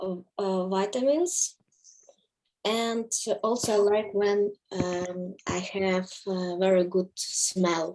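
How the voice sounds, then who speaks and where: The speaker talks very slowly with a Russian accent and ordinary pitch variation. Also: woman. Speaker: course participant. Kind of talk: group discussion in online class. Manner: halting, many hesitations.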